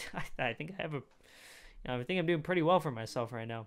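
A man speaks at a very fast pace with an animated, bright, sharp tone and ordinary pitch variation. The background is quiet. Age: 20s. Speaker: youtube reaction creator. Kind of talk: casual reaction commentary. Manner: animated, rambling with fillers. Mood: opinionated, mildly irritated. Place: home room. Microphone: studio mic.

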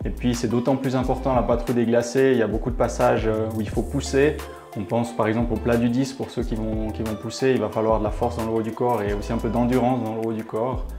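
Speech at a fairly quick pace with ordinary pitch variation over clear music in the background. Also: man. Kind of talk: interview answer. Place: gym. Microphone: lapel.

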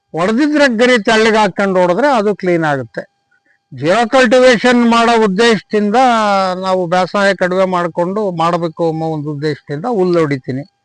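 Music plays behind a man whose high voice moves with lively intonation, the sound dry and close with no echo. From Chitradurga district, Karnataka (Hiriyur taluk). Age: 70s. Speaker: farmer. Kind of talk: on-site interview testimony.

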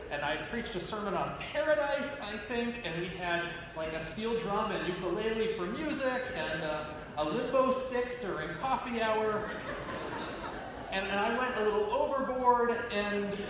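A man talks at a moderate pace. Strong room echo and noticeable background noise fill the recording. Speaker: minister. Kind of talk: sermon. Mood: light, humorous. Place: church. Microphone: podium.

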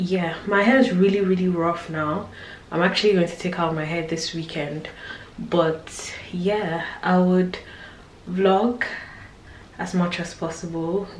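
A woman's fairly low voice at a fairly slow pace, with fairly even intonation and long, frequent pauses, audible room echo and light background noise. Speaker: vlogger. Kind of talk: casual vlog chat. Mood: relaxed, chatty. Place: home room. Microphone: phone near.

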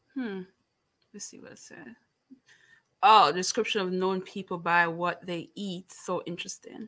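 Against a quiet background, a woman speaks at a fairly slow pace with long, frequent pauses and big swings in loudness. Her tone is bright and sharp, her pitch medium with ordinary variation. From Jamaica. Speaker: booktuber hosting book discussion. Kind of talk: casual livestream book chat. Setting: livestream with live chat. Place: home room. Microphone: webcam.

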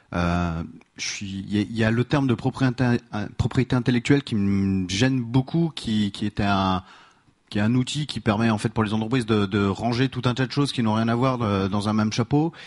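A man speaks in an unremarkable speaking voice at a medium pitch and moderate pace. The sound is dry and close, with no echo. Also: ordinary pitch variation. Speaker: audience member. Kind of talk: audience question. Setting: stage with audience.

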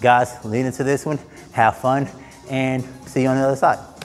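A man speaks at a moderate pace while faint music plays softly behind him. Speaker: fitness coach. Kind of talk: workout instruction. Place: gym. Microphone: lapel.

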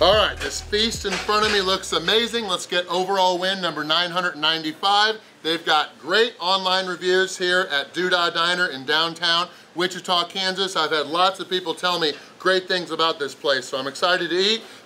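A man with a high pitch speaks over light background noise. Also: moderate pace. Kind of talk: casual vlog chat. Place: cafe.

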